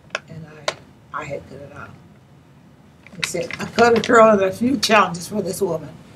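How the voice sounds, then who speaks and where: Despite long, frequent pauses, a woman keeps a fairly quick pace at medium pitch with lively intonation, amid audible room echo and noticeable background noise. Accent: American. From Santa Monica, Southern California. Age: 90s. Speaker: retired teacher and community elder. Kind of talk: oral history interview. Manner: halting, repetitive.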